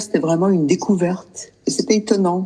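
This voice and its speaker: Speaking at a fairly slow pace with a medium pitch, a woman is heard over noticeable background noise. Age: 60s. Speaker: client sharing experience. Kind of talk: interview testimony.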